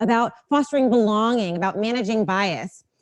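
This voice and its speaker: Over a quiet background, a woman with an American accent speaks at a moderate pace in a fairly high pitch with an animated tone. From US, Los Angeles. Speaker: diversity consultant and speaker. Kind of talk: talk to a live audience. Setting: stage with audience. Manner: animated, engaging with audience.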